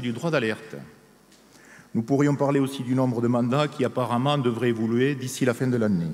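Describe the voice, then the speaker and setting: This is a man's voice. He speaks with a southern French accent. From southern France, Haute-Garonne area. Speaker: trade union delegate. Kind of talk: congress speech. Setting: stage at a union congress with audience.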